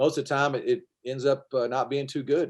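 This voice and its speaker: A man's medium-pitched voice at a fairly quick pace. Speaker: former teacher and health speaker. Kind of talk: casual interview.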